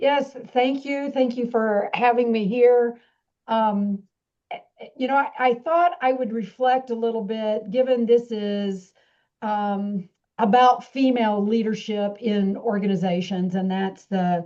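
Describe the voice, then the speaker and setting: Her tone is dark and mellow, with a fairly high pitch and ordinary pitch variation. The woman speaks at a fairly slow pace. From Texas. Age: 60s. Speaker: business school dean. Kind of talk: speech to an audience. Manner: halting.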